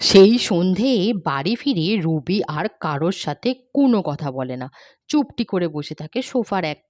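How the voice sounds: A woman's fairly low, slightly mellow voice at a moderate pace, full of big pitch swings. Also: very clean recording, silent background.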